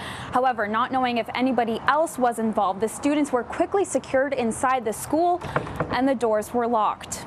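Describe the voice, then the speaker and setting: Against noticeable background noise, a woman talks at a fairly quick pace in a high pitch with ordinary pitch variation. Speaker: TV news reporter. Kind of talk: TV news reporter live shot and package.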